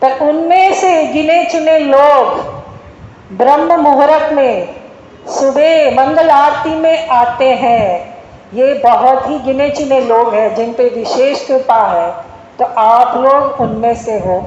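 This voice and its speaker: A woman's high voice with a Malayalam accent and ordinary pitch variation, with audible room echo and noticeable background noise. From Kerala, India. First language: Malayalam (speaking Hindi). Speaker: devotional speaker. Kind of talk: spiritual talk to temple visitors.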